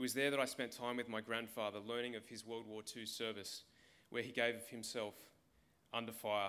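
An Australian accent from a man at medium pitch, fairly quick, monotone and flat, with a bright, sharp tone. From Australia, regional Victoria. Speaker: political candidate, former army officer; candidate. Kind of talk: campaign speech. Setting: stage with audience. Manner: formal. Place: hall. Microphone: podium.

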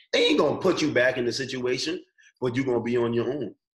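A man talks at a very fast pace. The background is quiet, with audible room echo. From Bahamas. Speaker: college track and field athlete; guest. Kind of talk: casual interview. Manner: casual, slangy. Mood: earnest, preachy about faith. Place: home room. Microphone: video call.

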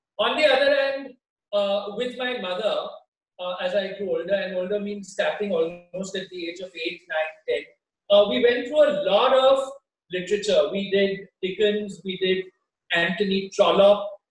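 There is audible room echo as a man with a high pitch talks at a moderate pace, using ordinary pitch variation and long, frequent pauses. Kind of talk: interview answer. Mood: warm, nostalgic. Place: home room.

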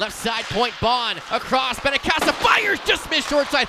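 Background noise is noticeable throughout. The man keeps to a moderate pace. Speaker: hockey play-by-play announcer. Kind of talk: live hockey play-by-play commentary. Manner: clipped staccato player-name calls.

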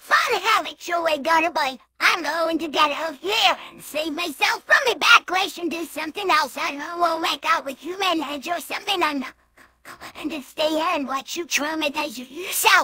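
An extremely high voice moves along at a moderate pace. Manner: sarcastic.

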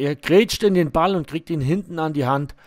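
A man speaks in a normal speaking voice at a fairly high pitch with ordinary pitch variation, on a very clean recording with a silent background. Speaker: match commentator for club video channel. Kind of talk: live-style sports commentary over match highlights, partisan toward the Barockstadt side.

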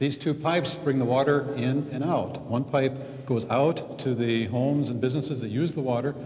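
The speaker is a man. He talks at a moderate pace. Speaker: hydrogeologist guide. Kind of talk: educational explanation to a youth. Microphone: lapel.

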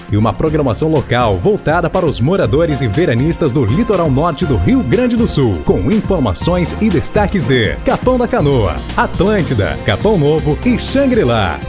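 A man's fairly high voice with very wide pitch swings, very even loudness, a moderate pace and hardly any pauses, over music in the background. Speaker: voice-over announcer. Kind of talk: TV station promo read.

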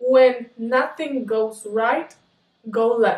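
A man talks in an upbeat, playful tone with an American accent. There is audible room echo over a quiet background. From United States. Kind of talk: casual talk to camera. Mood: playful, laughing. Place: home room. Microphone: camera far.

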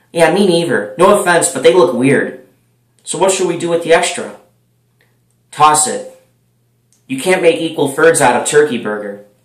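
At a moderate pace with long, frequent pauses, a man speaks against a quiet background with audible room echo. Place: home room. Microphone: webcam.

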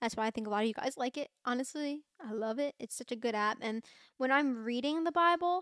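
A woman with an American accent talks at a fairly quick pace with a high pitch and ordinary pitch variation, against a quiet background in a dry sound with no echo. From Pennsylvania, Bucks County; Pennsylvania. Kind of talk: casual faith talk, monologue to camera. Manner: chatty, filler-heavy. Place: home room. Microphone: studio mic.

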